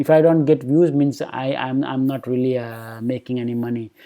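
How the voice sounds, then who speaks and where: With an Indian accent, a man speaks at a moderate pace using fairly even intonation. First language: Hindi. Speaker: YouTuber on personal finance. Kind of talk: casual vlog talk to camera. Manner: halting with many fillers.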